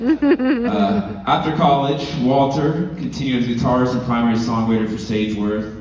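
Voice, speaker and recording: A man with a Southern California accent and medium pitch, hardly any pauses, and noticeable background noise. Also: ordinary pitch variation, moderate pace. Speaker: musician's son presenting an award. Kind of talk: award presentation speech.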